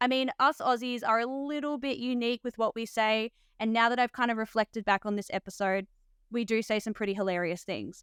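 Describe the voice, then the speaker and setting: A woman with an Australian accent speaks at a fairly quick pace, her pitch fairly high and her intonation fairly even. The recording is very clean with a silent background, and the sound is dry and close with no echo. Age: 30s. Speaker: podcast host and nurse. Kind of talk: scripted intro; podcast interview.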